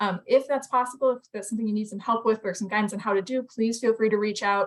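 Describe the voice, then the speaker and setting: Her pitch fairly high and her intonation fairly even, a woman talks at a very fast pace. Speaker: watershed group presenter. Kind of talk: online meeting presentation.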